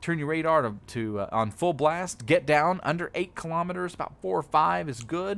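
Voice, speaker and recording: A man with a Texas accent talks at a moderate pace in a fairly high pitch, his intonation lively. The recording is very clean, with a silent background. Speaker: video game streamer / YouTuber. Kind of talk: casual gaming tutorial commentary. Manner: halting, many fillers.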